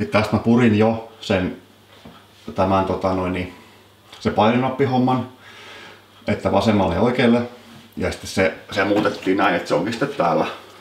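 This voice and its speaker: With a Turku accent, a man speaks with ordinary pitch variation over noticeable background noise. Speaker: electrician / electrical engineering teacher. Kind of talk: casual how-to talk to camera. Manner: casual, rambling.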